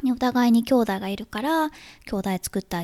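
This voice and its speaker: Dry and close with no echo, a woman's dark, mellow tone moves at a moderate pace through a very clean recording with a silent background. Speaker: podcast host, writer and mother. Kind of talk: casual solo podcast talk.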